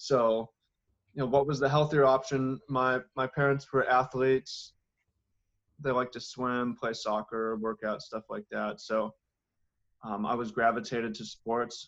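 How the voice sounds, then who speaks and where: Talking with an American accent, a man speaks at a medium pitch and a fairly slow pace. His intonation stays fairly even, with long, frequent pauses. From US Pacific Northwest, Seattle. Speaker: organic farmer and author. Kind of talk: interview.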